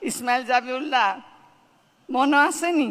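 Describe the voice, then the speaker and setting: With ordinary pitch variation, a woman speaks in a high voice with a bright, sharp tone. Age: 80s+. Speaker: actress. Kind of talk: speech at an event.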